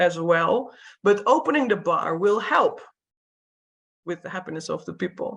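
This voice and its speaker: A woman talks with ordinary pitch variation. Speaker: workshop trainer. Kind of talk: lecture. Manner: fast.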